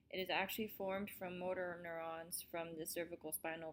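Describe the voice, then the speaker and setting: This woman has a normal speaking voice with fairly low pitch. She keeps a moderate pace. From US, Colorado. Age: 20s. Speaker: army medic and student presenter. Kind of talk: student presentation, read from script.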